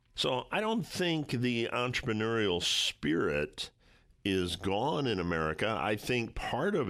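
The background is silent and the recording very clean. A man does the talking. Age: 60s. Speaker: radio host and financial advisor. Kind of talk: talk radio monologue and interview.

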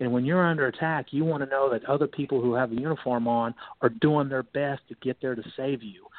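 A man speaks with an American accent in an ordinary speaking voice. His pitch is medium, his intonation fairly even and his pace fairly quick. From North Carolina. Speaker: retired naval officer. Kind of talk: radio interview.

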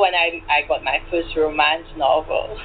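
Noticeable background noise beneath a fairly slow pace. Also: woman. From Saint Lucia. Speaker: novelist. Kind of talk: interview.

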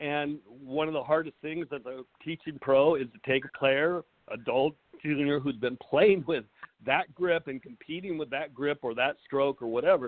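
Speaking at a moderate pace, a man uses a plain, everyday voice with a fairly high pitch and ordinary pitch variation. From Southern California. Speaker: high school tennis coach and author. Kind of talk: interview conversation.

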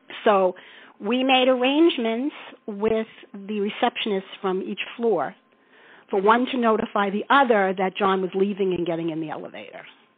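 At a moderate pace, a woman with an ordinary speaking voice talks at a medium pitch in an American accent. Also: ordinary pitch variation, big swings in loudness. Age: 60s. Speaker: Beatles fan recalling concerts. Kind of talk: interview storytelling.

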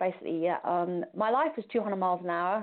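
Fairly even intonation in a British accent. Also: woman. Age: 50s. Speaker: cancer survivor, former hairdresser. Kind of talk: personal testimony. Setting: phone call.

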